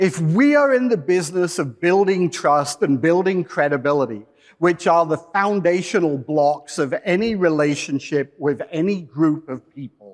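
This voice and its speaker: Hardly pausing, a man talks at a moderate pace. His pitch is high and his intonation lively. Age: 60s. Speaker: PR industry speaker. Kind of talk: conference presentation.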